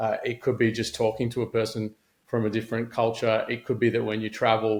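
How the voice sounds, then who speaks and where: The voice carries an Australian accent and a flat, monotone intonation. It moves at a fairly quick pace. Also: man. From Australia, Sydney. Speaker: former aid worker and social entrepreneur. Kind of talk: podcast interview.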